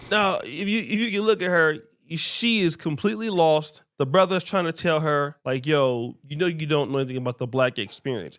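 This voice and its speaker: In a very clean recording with a silent background, a man with a normal speaking voice talks at a moderate pace, his fairly high pitch moving with lively intonation. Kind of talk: casual commentary to camera.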